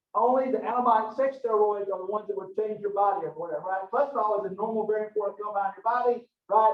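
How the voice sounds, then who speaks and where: A high-pitched man with a Southern US accent at a very fast pace. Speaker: professor. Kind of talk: lecture. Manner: animated.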